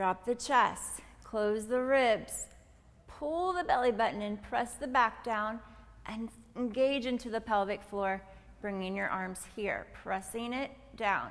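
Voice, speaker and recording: Speaking at a fairly slow pace, a woman lets her pitch vary in an ordinary way. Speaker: pilates instructor. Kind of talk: tutorial.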